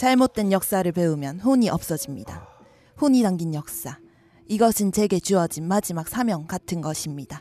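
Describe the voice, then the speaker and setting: With a dark, mellow tone at medium pitch, a woman speaks in very wide pitch swings. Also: moderate pace. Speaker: podcast co-host. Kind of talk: comedic casual chat. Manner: playful, teasing.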